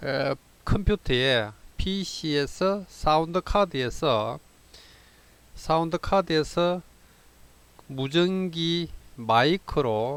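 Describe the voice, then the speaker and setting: Long, frequent pauses break up a very slow delivery from a man with a fairly high pitch and a Gyeongsang accent, his pitch varying in an ordinary way. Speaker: amateur radio operator. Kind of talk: tutorial. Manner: halting, many fillers.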